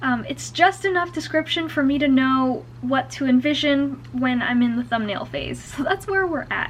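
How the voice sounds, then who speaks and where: A woman speaks at a moderate pace with hardly any pauses. Noticeable background noise runs underneath. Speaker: illustrator and comic writer vlogger. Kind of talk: casual vlog monologue. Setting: at home, on her bed at night.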